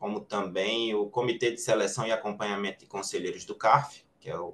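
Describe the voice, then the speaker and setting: A man is speaking. He has a Recife accent. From Recife, Pernambuco, Brazil. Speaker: tax lawyer. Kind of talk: webinar panel talk. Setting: live online webinar.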